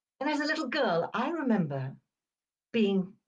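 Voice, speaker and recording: Somewhat breathy, a woman speaks at a fairly slow pace as her pitch swings very widely. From Uganda, Indian family; schooled in England from age ten. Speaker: video series host. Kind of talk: personal storytelling.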